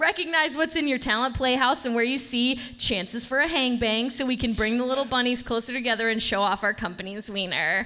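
Over noticeable background noise, a woman with an American accent and a high pitch speaks at a fairly quick pace with very even loudness. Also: ordinary pitch variation. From Michigan, East Lansing. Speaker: comedian. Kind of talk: stand-up. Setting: stage with audience.

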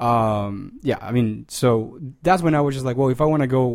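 A man is heard in a very clean recording against a silent background. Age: 30s. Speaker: freelance journalist and photographer. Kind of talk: casual chat. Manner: halting.

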